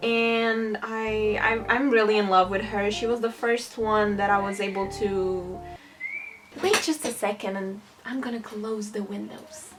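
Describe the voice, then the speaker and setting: Against noticeable background noise, a woman talks at a fairly slow pace. Her fairly high voice keeps a fairly even intonation. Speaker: digital artist youtuber. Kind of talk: casual drawing tutorial vlog.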